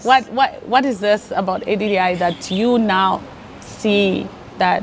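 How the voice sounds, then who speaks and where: In a plain, everyday voice, a woman speaks at a medium pitch with ordinary pitch variation. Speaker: interviewer, show host. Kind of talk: interview question.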